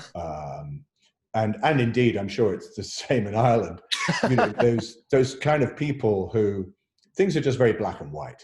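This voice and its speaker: At a moderate pace, a man of medium pitch talks with very wide pitch swings, vocal fry and big swings in loudness. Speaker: actor. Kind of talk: interview answer.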